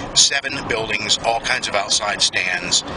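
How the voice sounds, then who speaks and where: Noticeable background noise runs under the voice. The sound is dry, with no echo. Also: man. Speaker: travel vlogger. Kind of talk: casual vlog chat. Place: car. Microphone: phone near.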